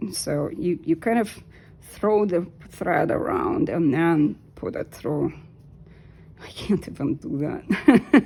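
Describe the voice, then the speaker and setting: A woman with a Russian accent speaks at a very slow pace. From Soviet Union. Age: 50s. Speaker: knitting vlogger. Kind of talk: tutorial. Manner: halting.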